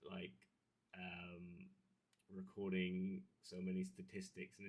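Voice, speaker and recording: Mumbling in a very deep, low voice, a man speaks with monotone, flat intonation. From Devon, southwest England. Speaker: YouTube streamer, hobbyist. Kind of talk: casual livestream chat. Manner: mumbly; soft-spoken.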